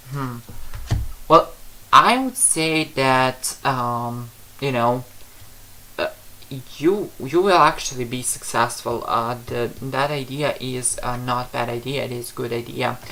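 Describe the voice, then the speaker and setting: At a very slow pace and medium pitch, a man with a non-native accent keeps his intonation fairly even and leaves long, frequent pauses. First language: not English. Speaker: psychic tarot reader. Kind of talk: livestream reading answering viewer questions. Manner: halting, many fillers.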